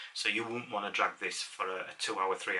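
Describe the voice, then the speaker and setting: In a Yorkshire accent, a man talks with fairly low pitch and ordinary pitch variation. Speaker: amateur photographer. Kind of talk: casual talk to camera. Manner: hesitant, many fillers.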